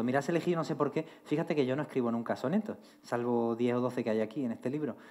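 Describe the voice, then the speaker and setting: A man talks at a very fast pace with a medium pitch and ordinary pitch variation. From Argentina. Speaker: writer. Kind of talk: interview on stage, reading poems aloud. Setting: university hall with audience.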